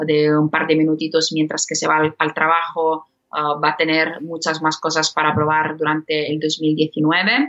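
A woman speaks at a fairly slow pace. Her voice is very deep and low. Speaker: podcast platform company representative. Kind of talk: casual interview. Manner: halting, many fillers.

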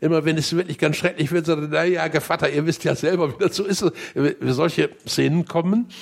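Speaking at a fairly quick pace, a man uses fairly even intonation at a fairly high pitch, with vocal fry. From northern Germany, Bremerhaven. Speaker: literary editor and retired writer. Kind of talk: interview. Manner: halting, many fillers.

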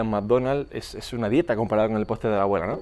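On a very clean recording with a silent background, a man speaks in an unremarkable speaking voice of medium pitch and ordinary pitch variation. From Canary Islands. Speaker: fitness coach and podcast host. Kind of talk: podcast monologue. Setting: outdoors, walking on the street.

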